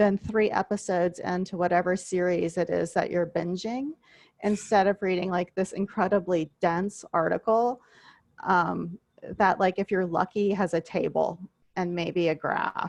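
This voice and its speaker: In a normal speaking voice, a woman talks at medium pitch and a moderate pace with fairly even intonation, the sound dry and close with no echo. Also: quiet background. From US South, coastal southwest Louisiana (Vermilion Parish). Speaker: university instructor. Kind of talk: online class lecture. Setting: video call.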